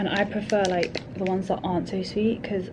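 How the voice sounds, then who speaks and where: A woman with a London accent speaks at a fairly quick pace and a medium pitch. Noticeable background noise and audible room echo fill the recording. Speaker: vlogger. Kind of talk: casual vlog monologue. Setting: office. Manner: speaking quietly; fast, chatty.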